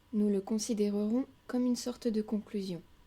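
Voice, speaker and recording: A woman's fairly high, somewhat breathy voice in a dark, mellow tone, flat and monotone at a moderate pace. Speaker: spiritual audiobook reader. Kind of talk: spiritual lecture reading. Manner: whispered, soft.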